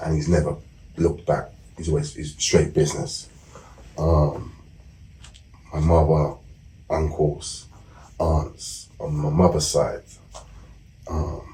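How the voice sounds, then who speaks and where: A man with a London accent speaks at a moderate pace in a very deep, low pitch. His intonation is monotone and flat, and audible room echo surrounds him. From South East London. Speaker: former gang member and author. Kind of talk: interview.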